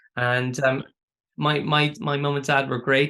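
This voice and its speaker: With an Irish accent and a bright, sharp tone, a man talks at a moderate pace against a quiet background. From Ireland, County Waterford. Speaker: artist and educator. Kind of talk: interview. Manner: hesitant, many fillers and repeats.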